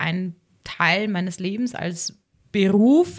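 A woman talks in a Bavarian accent. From Upper Bavaria, Garmisch-Partenkirchen district. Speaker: sport psychologist and former freestyle skier. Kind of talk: casual interview.

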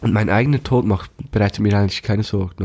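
Dark and mellow in tone, a man's fairly low voice moves at a fairly quick pace, dry and close with no echo. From Switzerland, canton of Bern (Thun). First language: Swiss German (Bernese) (speaking German). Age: 20s. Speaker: band manager, musician and slam poet. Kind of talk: casual interview.

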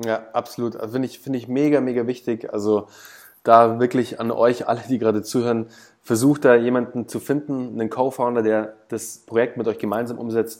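A man at medium pitch, monotone and flat in intonation, at a moderate pace. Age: 30s. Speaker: startup founder and business consultant. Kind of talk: casual interview. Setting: video call.

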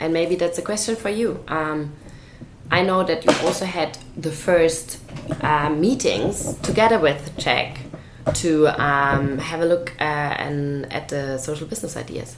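Noticeable background noise surrounds a woman with a German accent and a very deep, low pitch. She speaks fairly slowly with ordinary pitch variation. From Germany, Swabia. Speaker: charity founder, podcast co-host. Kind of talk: casual chat.

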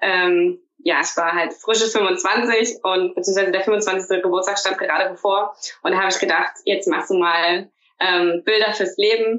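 At a fairly slow pace, a woman speaks in a flat monotone at medium pitch, her loudness very even. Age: 30s. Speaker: teacher. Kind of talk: casual interview.

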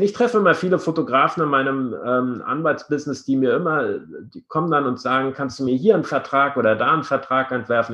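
Against a quiet background, a man with fairly high pitch speaks in an unremarkable speaking voice. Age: 50s. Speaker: podcast host, lawyer. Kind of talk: interview. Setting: video call. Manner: formal.

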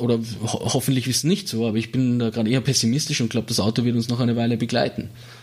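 Speaking at a very fast pace, a man with a medium pitch keeps his intonation fairly even. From Austria, Salzburg city. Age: 30s. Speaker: automotive industry researcher. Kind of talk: interview. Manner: halting.

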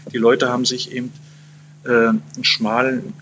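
At a moderate pace, a man with a medium pitch speaks in a bright, sharp tone touched with vocal fry. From Saxony-Anhalt, eastern Germany. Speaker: journalist. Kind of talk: interview. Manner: halting, many fillers.

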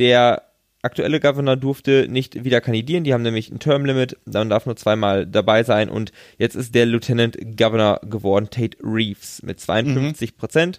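A plain, everyday voice speaks at a moderate pace. Its pitch varies in an ordinary way. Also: man, medium pitch for a man. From western Germany. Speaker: podcast co-host on US politics. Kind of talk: casual chat.

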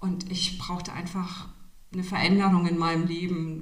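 A woman talks at a moderate pace. The room echo is audible, and there is noticeable background noise. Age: 50s. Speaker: interview guest. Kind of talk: casual interview. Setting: studio, sitting next to host.

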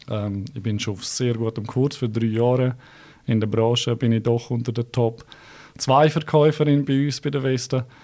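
In a Graubünden accent, a man speaks at a moderate pace and medium pitch, with a dark, mellow tone and fairly even intonation. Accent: Bündner Swiss German. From Switzerland, Graubünden. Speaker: real estate agent. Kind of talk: interview. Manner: hesitant, many fillers.

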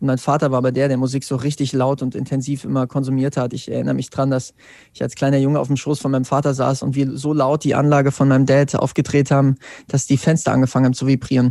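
Against a quiet background, a man with a medium pitch and a dark, mellow tone talks very fast in a monotone, flat intonation. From Germany, central Hesse (Wetzlar). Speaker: singer-songwriter. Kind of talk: interview.

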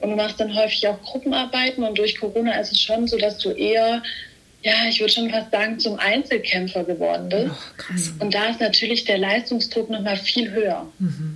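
Over noticeable background noise, a woman with a fairly high pitch speaks at a moderate pace, with ordinary pitch variation and very even loudness. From Stuttgart, Germany. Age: 20s. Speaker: media business student. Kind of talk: casual interview chat.

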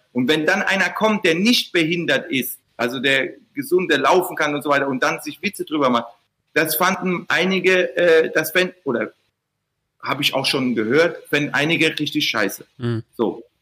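A man with a Mannheim accent speaks at a moderate pace in a fairly high voice, his tone bright and sharp and his intonation lively. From Mannheim, Germany. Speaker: podcast host. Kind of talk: casual chat.

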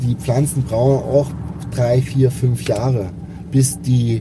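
Over noticeable background noise, a man at medium pitch speaks at a fairly slow pace. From Dresden, Saxony (born Stuttgart, moved as child). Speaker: coffee roaster, business owner. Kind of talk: casual chat. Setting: in a car. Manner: animated.

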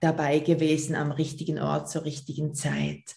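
This is a woman speaking with a Basel accent. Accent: Swiss German, Basel. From Switzerland, Basel. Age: 40s. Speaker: personal trainer. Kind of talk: interview.

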